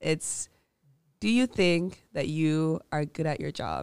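A woman's very deep, low-pitched voice with ordinary pitch variation, in a very clean recording over a silent background. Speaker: podcast host. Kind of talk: interview conversation.

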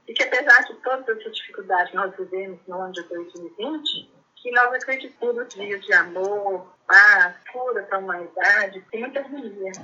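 A woman's normal speaking voice at a medium pitch, with big swings in loudness, ordinary pitch variation, a moderate pace and hardly any pauses. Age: 60s. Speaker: cancer patient. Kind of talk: personal testimony. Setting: phone call. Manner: calm.

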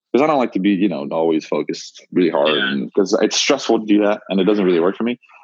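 Talking at a very fast pace with hardly any pauses, a man uses lively intonation in a fairly low-pitched voice. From Montreal, Canada. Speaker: college basketball player. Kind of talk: casual interview.

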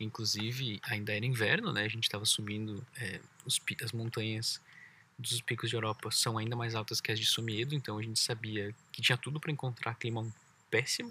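A man with a Brazilian accent, medium-pitched with a bright, sharp tone, fairly even intonation, and a fairly quick pace, in a very clean recording with a silent background. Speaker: travel podcast host, cyclist. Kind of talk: casual chat. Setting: outdoors by a lake.

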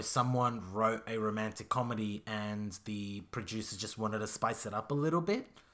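A man speaks in an Australian accent at a moderate pace. His medium-pitched voice sits on a very clean recording with a silent background. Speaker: podcast host. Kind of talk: casual chat.

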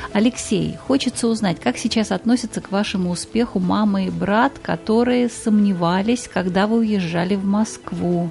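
With noticeable background noise behind her, a woman talks at a medium pitch with hardly any pauses. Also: ordinary pitch variation, moderate pace. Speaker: radio host. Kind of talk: radio interview.

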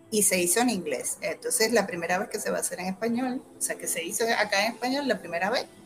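Music plays behind a woman speaking with a Puerto Rican accent. Her pitch is fairly high with ordinary variation, and her pace is very fast. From Puerto Rico, Humacao. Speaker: actress. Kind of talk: casual chat.

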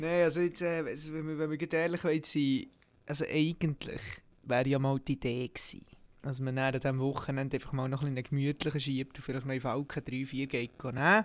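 Against a silent background in a very clean recording, a man with a plain, everyday voice talks at a moderate pace with fairly even intonation. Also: fairly high pitch for a man. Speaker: podcast co-host, military recruit. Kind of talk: casual chat.

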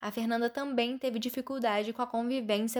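An unremarkable speaking voice from a woman, fairly high in pitch, with fairly even intonation, a moderate pace, and a very clean recording against a silent background. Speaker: journalism student, podcast host. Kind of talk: scripted narration.

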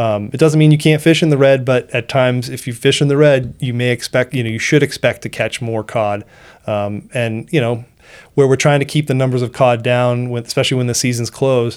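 A man speaks at a fairly quick pace with an American accent, in a normal speaking voice. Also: medium pitch for a man, fairly even intonation. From Seacoast New Hampshire, US. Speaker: fisheries biologist. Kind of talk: interview.

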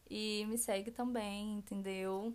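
Using fairly even intonation, a woman with a fairly high pitch speaks at a very slow pace. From Rio de Janeiro state interior, Região dos Lagos. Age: 20s. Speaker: podcast co-host, braiding entrepreneur. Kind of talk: casual chat.

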